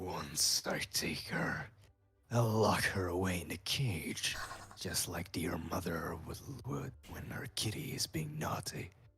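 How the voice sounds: In a put-on character voice, a man delivers fairly slow lines in a very deep, low pitch with a menacing tone.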